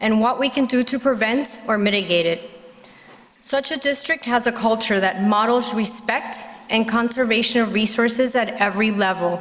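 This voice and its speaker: Someone with a Spanish accent talks at a moderate pace, keeping loudness very even and pitch variation ordinary. Background noise is noticeable. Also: woman, fairly high pitch for a woman. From Puerto Rico. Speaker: parent speaking at public comment, physician. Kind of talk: prepared public comment speech. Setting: school board meeting at podium.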